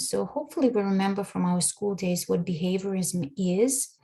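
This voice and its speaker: Somewhat breathy and dark, mellow in tone, a woman at medium pitch speaks with lively intonation on a very clean recording with a silent background. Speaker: language education researcher. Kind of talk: conference presentation.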